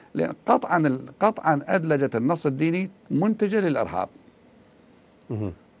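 His pitch is fairly high and swings very widely. The man speaks at a fairly slow pace. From Iraq. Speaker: religious thinker and researcher; guest. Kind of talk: TV interview. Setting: remote link from another city. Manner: formal.

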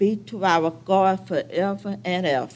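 The speaker is a woman. She talks very slowly. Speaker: church member giving welcome. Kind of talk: liturgical welcome. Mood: joyful, devotional. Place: church. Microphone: podium.

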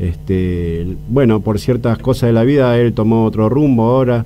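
Light background noise sits behind a man with an Argentine accent. His fairly low voice shows ordinary pitch variation. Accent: Rioplatense Argentine Spanish. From Argentina. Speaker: keyboardist and arranger; interviewee. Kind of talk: interview. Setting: radio studio. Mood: warm, heartfelt. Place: street. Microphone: handheld.

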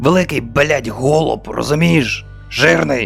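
Against clear music in the background, a man uses a raspy put-on character voice of medium pitch, moving at a fairly slow pace with very wide pitch swings. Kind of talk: comic parody dub. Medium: fan dub. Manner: slow, menacing, coarse.

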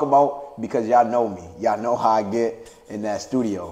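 At a moderate pace, a man is speaking. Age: young. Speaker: podcast host. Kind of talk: casual chat. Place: home room.

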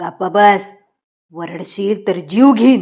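A woman puts on a character voice with a menacing tone, at a medium pitch with ordinary pitch variation. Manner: menacing, commanding.

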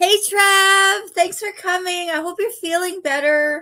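At a very slow pace, a woman projects her raised voice with very wide pitch swings against a quiet background. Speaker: craft YouTuber. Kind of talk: live stream chat while crafting. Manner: loud; animated. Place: home room. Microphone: studio mic.

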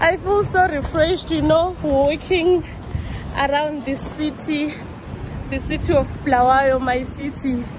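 A woman speaks with a high pitch and ordinary pitch variation. There is noticeable background noise. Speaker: travel vlogger. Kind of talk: casual vlog chat. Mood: cheerful, relaxed. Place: street. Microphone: phone near.

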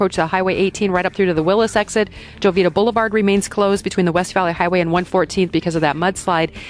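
With hardly any pauses, a woman talks at a very even loudness and ordinary pitch variation, her voice dry with no echo. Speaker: traffic reporter. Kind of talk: radio traffic report. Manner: rapid, matter-of-fact, rattling off road details.

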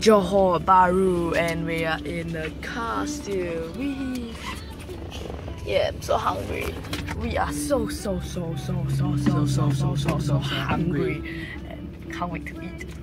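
Clear music plays in the background while the speech moves at a very slow pace. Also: woman. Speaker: vlogger. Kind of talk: casual vlog chat. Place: car. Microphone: phone near.

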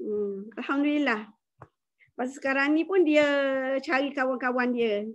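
A woman speaks at a fairly slow pace in a high pitch against a quiet background. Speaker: network marketing distributor. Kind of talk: testimony. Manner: halting. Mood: grateful, warm. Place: home room. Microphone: too quiet; video call.

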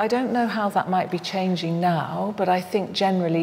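A woman with a fairly low pitch shows vocal fry, a slightly mellow tone and ordinary pitch variation.

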